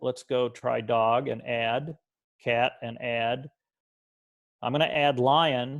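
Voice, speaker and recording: The background has little noise. A man's voice is heard. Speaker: computer science teacher trainer. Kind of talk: tutorial.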